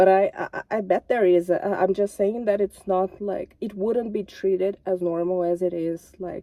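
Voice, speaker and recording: Speaking with a non-native accent, a woman uses a medium pitch and a dark, mellow tone, keeping a monotone, flat intonation at a moderate pace. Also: hardly any pauses. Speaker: YouTuber. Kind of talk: casual vlog commentary. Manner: halting, self-correcting.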